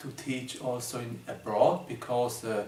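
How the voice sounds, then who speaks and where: A man's voice comes with audible room echo, and noticeable background noise is present. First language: German. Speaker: numerology teacher. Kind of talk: video presentation. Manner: halting, many fillers; slow.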